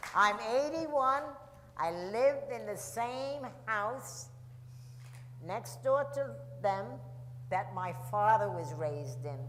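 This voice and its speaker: A woman with a New York accent speaks at a very slow pace and medium pitch, with very wide pitch swings and long, frequent pauses. Audible room echo and noticeable background noise fill the recording. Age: 80s+. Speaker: Armstrongs' longtime neighbor. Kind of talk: audience Q&A, reminiscing. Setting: festival stage with audience. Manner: halting, repetitive.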